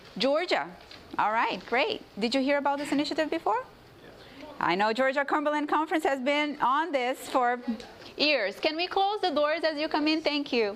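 Against noticeable background noise, a woman with a Portuguese accent speaks at a moderate pace and a high pitch, her intonation lively and her loudness very even. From Brazil. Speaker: church health ministries director. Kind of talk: seminar presentation. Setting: conference room with live audience.

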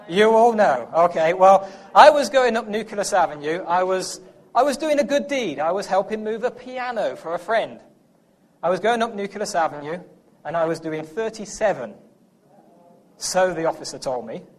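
A man speaks with an English accent and a high pitch. His pace is moderate and his intonation lively. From England. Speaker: preacher. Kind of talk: sermon.

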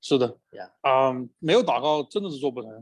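Here a man talks at a fairly quick pace. His pitch is fairly high and his intonation lively. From Chengdu, China. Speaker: pastor. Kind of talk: church workshop presentation in dialogue. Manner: hesitant with frequent fillers.

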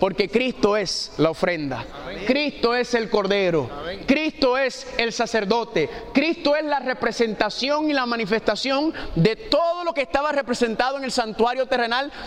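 Over noticeable background noise, a man with an extremely high pitch speaks at a moderate pace in an animated tone with lively intonation. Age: 40s. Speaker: preacher. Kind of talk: sermon.

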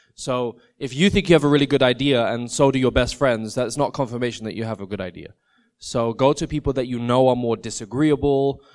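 A man with medium pitch talks at a fairly quick pace in an ordinary speaking voice. The background is quiet. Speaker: panel moderator. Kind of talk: panel Q&A. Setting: conference stage with audience.

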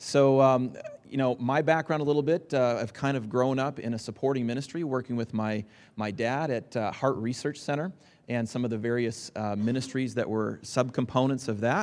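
A man speaks in a normal speaking voice at medium pitch with ordinary pitch variation against a quiet background. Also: moderate pace. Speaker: entrepreneur. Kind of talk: seminar panel discussion. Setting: stage with audience.

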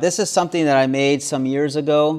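An unremarkable speaking voice in an American accent, moderate pace, fairly even intonation. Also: man. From US South. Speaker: preacher. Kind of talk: sermon at a camp meeting. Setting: camp meeting with audience.

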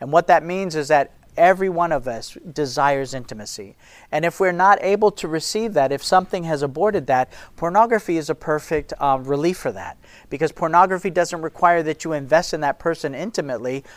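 A man has an ordinary speaking voice with a fairly high pitch and ordinary pitch variation, at a fairly quick pace. The recording is very clean, with a silent background. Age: 50s. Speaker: ministry leader and speaker. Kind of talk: sermon-style talk to an audience.

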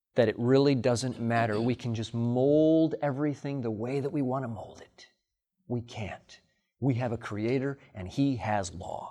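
A man with an American accent talks at a fairly slow pace in a medium pitch, his tone dark and mellow. His loudness swings widely while his pitch varies in an ordinary way, over a quiet background. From Illinois, US Midwest. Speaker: pastor. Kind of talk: sermon. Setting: camp meeting with audience.

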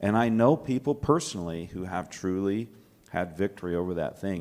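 A man's ordinary speaking voice, fairly low in pitch, in an American accent at a moderate pace. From US South, Alabama. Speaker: church ministry worker. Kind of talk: panel discussion.

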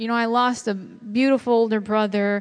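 With a Chicago accent, a woman speaks at a fairly high pitch and a moderate pace, keeping her intonation fairly even. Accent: Chicago American. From US Midwest (Chicago). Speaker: seminar speaker. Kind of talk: testimony.

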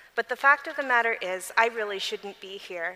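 Here a woman speaks with a fairly high pitch and ordinary pitch variation. Her pace is moderate. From US Midwest, Michigan. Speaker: lawyer and convention speaker. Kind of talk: testimony.

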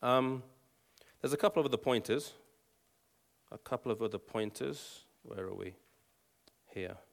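A man with an English accent speaks at a medium pitch with lively intonation and vocal fry. His loudness swings widely, he pauses long and often, and the recording is very clean with a silent background. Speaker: Bible teacher and former evangelist. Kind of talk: Bible teaching talk with prayer. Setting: live audience with slides. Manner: fast talker.

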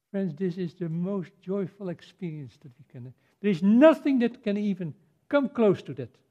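With a Dutch accent, a man with a high pitch and a dark, mellow tone talks at a moderate pace, his pitch swinging very widely and his loudness shifting a great deal. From Netherlands. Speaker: preacher. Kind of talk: sermon.

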